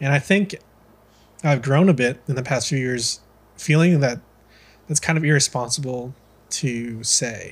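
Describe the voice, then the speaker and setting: An American-accented man speaks at a fairly slow pace with long, frequent pauses, his fairly high, somewhat breathy voice showing ordinary pitch variation. The recording is very clean with a silent background. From US, Filipino American. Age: 20s. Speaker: podcast host, coffee seller. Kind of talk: casual interview chat.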